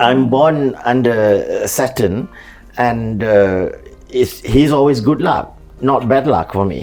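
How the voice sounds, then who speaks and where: Music plays in the background as a man speaks at medium pitch with ordinary pitch variation. His pace is very slow, with long, frequent pauses. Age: 70s. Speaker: veteran dancer and choreographer. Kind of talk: interview conversation.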